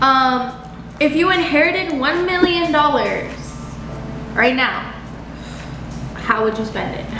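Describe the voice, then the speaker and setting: Talking in a raised, projected voice, a woman with an American accent and a high pitch moves at a very slow pace with long, frequent pauses, her pitch varying an ordinary amount amid noticeable background noise and audible room echo. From Naples, Florida. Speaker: daughter, guest on mukbang. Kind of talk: casual chat.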